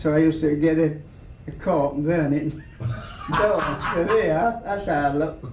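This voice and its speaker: Fairly slow, fairly high-pitched speech from a man, with long, frequent pauses, ordinary pitch variation and noticeable background noise. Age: 80s+. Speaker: razor grinder. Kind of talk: casual talk while shaving, interview answers.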